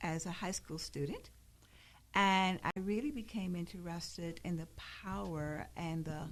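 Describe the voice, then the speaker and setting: In a normal speaking voice, a woman with an American accent talks at a fairly low pitch and a fairly slow pace. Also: ordinary pitch variation. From South Carolina (rural Charleston area). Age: 60s. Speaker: library director. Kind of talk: radio interview.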